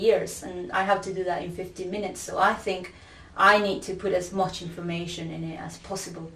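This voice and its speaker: Amid noticeable background noise, someone with a Spanish accent talks at a fairly quick pace. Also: woman. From Peru. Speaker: academic researcher. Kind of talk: interview testimony.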